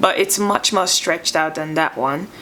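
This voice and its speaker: Noticeable background noise behind a woman's voice with lively intonation. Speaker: beauty vlogger. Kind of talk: product review. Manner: slurring words at times.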